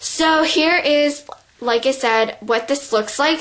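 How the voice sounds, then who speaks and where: A woman talks with ordinary pitch variation. Noticeable background noise is present. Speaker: beauty vlogger. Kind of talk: tutorial. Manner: casual, filler-heavy.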